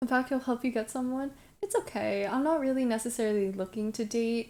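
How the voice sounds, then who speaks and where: A woman with an American accent and an unremarkable speaking voice at a moderate pace, on a very clean recording with a silent background. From Brooklyn, New York. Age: 20s. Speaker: streamer. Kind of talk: casual chat. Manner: casual, filler-heavy.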